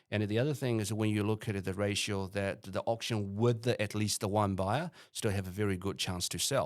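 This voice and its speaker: With an ordinary speaking voice, a man speaks at a fairly low pitch and moderate pace, with ordinary pitch variation on a very clean recording with a silent background. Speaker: real estate auctioneer. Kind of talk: podcast interview answer.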